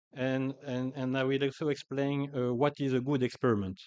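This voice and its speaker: Speaking in a French accent, a man uses a medium pitch. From France, Paris. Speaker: agricultural scientist. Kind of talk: conference talk. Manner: hesitant, many fillers.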